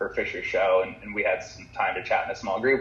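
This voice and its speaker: A man with an American accent rattles along at a very fast pace, and background noise is noticeable. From Southern California. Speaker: surfer. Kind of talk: casual chat.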